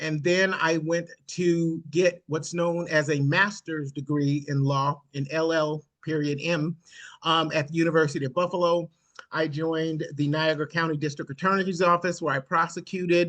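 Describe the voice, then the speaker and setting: A man with an American accent speaks at a fairly high pitch. His intonation is monotone and flat. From Nebraska, US Midwest. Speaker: government transportation official, former lawyer. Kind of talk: virtual meeting presentation. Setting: video call. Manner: fast.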